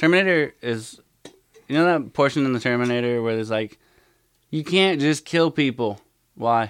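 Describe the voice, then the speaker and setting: Pausing long and often, a man with a fairly high voice keeps a moderate pace and ordinary pitch variation. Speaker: gaming community moderator and veteran. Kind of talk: casual chat. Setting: podcast recording session with monitor. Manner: rarely shows emotion.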